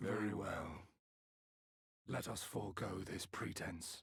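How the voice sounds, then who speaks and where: A man puts on a raspy character voice. He talks at a fairly slow pace and a fairly low pitch. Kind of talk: formal, archaic. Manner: formal and ominous.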